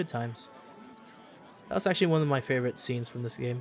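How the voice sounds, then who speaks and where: Noticeable background noise sits behind a speaker with a Filipino accent. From Philippines. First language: Tagalog. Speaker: video game streamer. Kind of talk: let's play commentary reading game dialogue aloud. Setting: live stream. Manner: halting.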